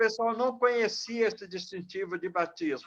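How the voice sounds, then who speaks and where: A high-pitched man talks fairly slowly, his intonation lively. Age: 60s. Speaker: youth club pioneer. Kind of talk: interview. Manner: halting.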